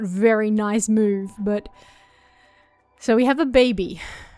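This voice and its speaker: A fairly high-pitched woman with ordinary pitch variation, music in the background. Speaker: gaming YouTuber. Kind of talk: let's play commentary. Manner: animated.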